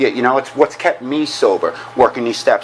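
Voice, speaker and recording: A man with a New York accent at a fairly quick pace, over noticeable background noise. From New York (Queens). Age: 40s. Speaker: recovering alcoholic speaker. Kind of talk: recovery meeting talk. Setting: meeting room with audience. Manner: fast; animated.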